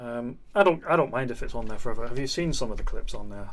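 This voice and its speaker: Quiet and very fast, a man speaks with audible room echo around him. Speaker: video game streamer. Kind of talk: live gameplay stream chat.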